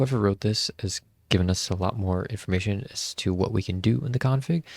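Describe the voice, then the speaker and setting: A man whispering, somewhat breathy and fairly slow, on a very clean recording with a silent background and a dry, close sound with no echo. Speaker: tech YouTuber. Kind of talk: tutorial. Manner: casual, filler-heavy.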